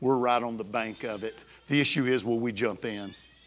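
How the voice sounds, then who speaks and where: Medium-pitched male voice in an Alabama accent, with fairly even intonation, on a very clean recording with a silent background. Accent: Southern US (Alabama). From US South, Alabama. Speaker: pastor. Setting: church service with congregation. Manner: intense, emphatic, building crescendo that sounds almost angry; storytelling, conversational with fillers and restarts.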